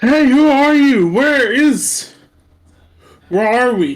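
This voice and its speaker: In a put-on character voice, the speaker is loud, fairly high-pitched and very slow. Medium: actual play. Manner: loud, questioning.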